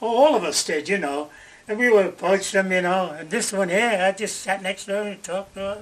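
A man with an American accent, high pitch, ordinary pitch variation, and a fairly quick pace. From New York. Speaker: war veteran. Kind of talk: oral history interview. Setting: in person at a museum. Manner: halting. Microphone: camera far.

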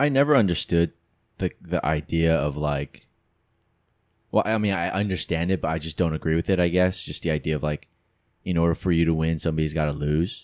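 A man with a very deep, low pitch talks at a fairly quick pace with long, frequent pauses against a quiet background. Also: ordinary pitch variation. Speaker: podcast host. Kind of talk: casual chat. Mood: relaxed, reflective. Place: home room. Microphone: studio mic.

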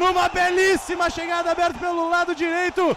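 There is a light hum of noise behind the speaker. The voice belongs to a man. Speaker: match narrator. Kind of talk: live sports commentary, play-by-play narration. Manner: excitable, building to goal call.

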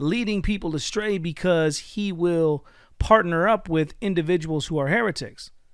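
A man speaks at a moderate pace with a high pitch and ordinary pitch variation. The background is quiet and the sound is dry with no echo. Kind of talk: critical commentary video. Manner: earnest, preacherly. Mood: critical, confrontational. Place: home room. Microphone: studio mic.

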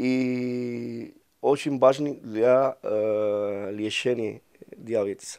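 In a Spanish accent, a man with a medium-pitched voice and a dark, mellow tone talks at a very slow pace with fairly even intonation against a quiet background. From Cuba. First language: Spanish (speaking Russian). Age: 40s. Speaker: ambassador; interviewee. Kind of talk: interview; interview answer. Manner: halting, many hesitations. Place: office. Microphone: lapel.

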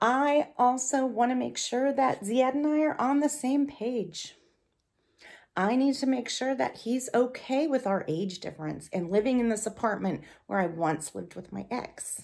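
High-pitched woman's voice with lively intonation, moderate pace and a quiet background. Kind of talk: confessional to camera. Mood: anxious, dramatic, controlling. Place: home room. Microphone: phone near.

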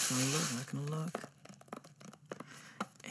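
Over noticeable background noise, a soft-spoken man talks in a relaxed tone. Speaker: ASMR creator. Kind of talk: ASMR roleplay. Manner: relaxed, casual. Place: home room.

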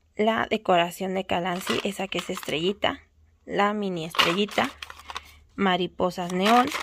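Against loud background noise in a dry sound with no echo, a woman talks fairly slowly with ordinary pitch variation. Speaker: nail supply shop owner; shop seller showing stock. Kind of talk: product showcase video; casual product showcase. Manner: casual, filler-heavy. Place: shop. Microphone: phone near.

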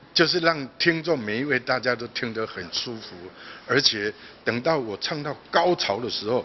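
Against light background noise, a man speaks at a moderate pace with lively intonation. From Taiwan. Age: 60s. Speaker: singer. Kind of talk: interview answer. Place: hall. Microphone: handheld.

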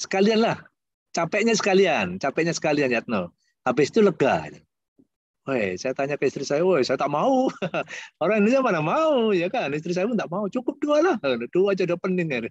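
Over a quiet background, a man with a high pitch talks at a fairly quick pace, his voice making very wide pitch swings in a dry sound with no echo. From Indonesia. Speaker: university lecturer. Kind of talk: guest lecture over video call. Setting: video call. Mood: warm, jovial. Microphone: video call.

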